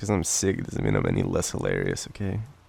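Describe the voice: A man with an Australian accent at a fast pace, extremely low in pitch with big pitch swings, vocal fry, a slightly mellow tone and a slightly husky edge.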